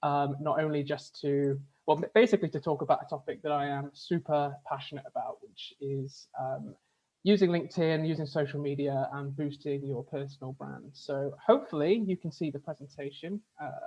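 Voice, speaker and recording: A somewhat breathy man's voice with a fairly high pitch, fairly even intonation and big swings in loudness. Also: moderate pace. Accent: British. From UK. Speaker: HR communications manager, workshop presenter. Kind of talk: webinar presentation. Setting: video call.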